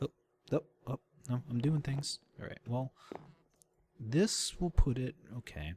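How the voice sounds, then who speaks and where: With big swings in loudness and long, frequent pauses, a man speaks at a fairly slow pace in a somewhat breathy, medium-pitched voice with ordinary pitch variation. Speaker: gaming video creator. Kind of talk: gameplay commentary. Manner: halting; animated.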